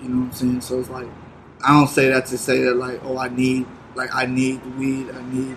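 Noticeable background noise accompanies a man at a medium pitch. He speaks at a moderate pace with monotone, flat intonation. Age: 20s. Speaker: music artist. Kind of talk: casual chat.

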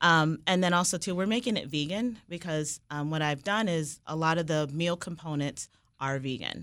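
In an American accent, this is a normal speaking voice with ordinary pitch variation and a moderate pace, recorded very cleanly against a silent background. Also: woman, fairly low pitch for a woman. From Washington D.C. area, US. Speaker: restaurant owner. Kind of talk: interview.

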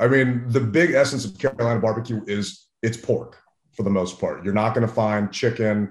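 A somewhat breathy man with an American accent at a moderate pace, quiet background. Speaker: barbecue and tailgating expert. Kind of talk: casual interview.

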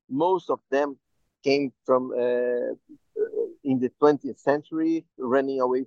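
A man with a medium pitch. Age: 40s. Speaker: photographer and bank manager. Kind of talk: interview. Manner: halting.

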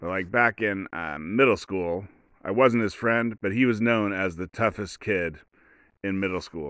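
Pitched fairly low, a man speaks at a fairly slow pace with ordinary pitch variation. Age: 40s. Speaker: podcast host. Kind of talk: solo storytelling monologue. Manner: halting, many false starts.

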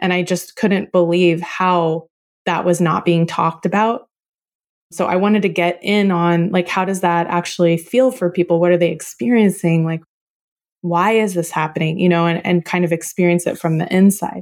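A woman with an American accent and a normal speaking voice talks at a moderate pace and fairly low pitch on a very clean recording with a silent background. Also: fairly even intonation. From Oklahoma, US. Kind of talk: interview conversation.

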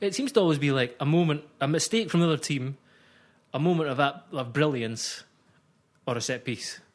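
A man with a Scottish accent talks at a fairly high pitch and moderate pace. His intonation is lively, and the recording is very clean with a silent background. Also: long, frequent pauses. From Scotland. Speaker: football journalist. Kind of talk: casual chat.

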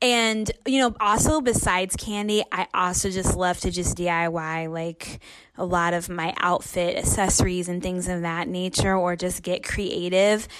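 Noticeable background noise sits behind a woman speaking at a moderate pace with hardly any pauses. Her medium-pitched voice shows ordinary pitch variation. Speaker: podcast listener. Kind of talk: recorded voice memo.

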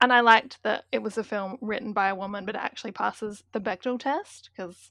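With a slight South Australian accent, a bright, sharp voice shows ordinary pitch variation over a quiet background. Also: woman. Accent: South Australian, slight British-like. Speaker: guest. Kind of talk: casual chat.

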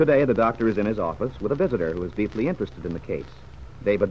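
A man speaks at a very fast pace with a dramatic tone and a fairly low pitch. His voice shows vocal fry and very wide pitch swings. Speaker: radio drama narrator. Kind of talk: scripted narration, old-time radio drama. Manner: grave, even, dramatic storyteller tone.

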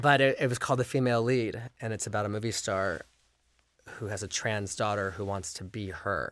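In a very clean recording with a silent background, a man with an American accent speaks at a fairly quick pace. His unremarkable speaking voice sits fairly low, with ordinary pitch variation. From Los Angeles. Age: 40s. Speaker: film director. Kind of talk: casual chat.

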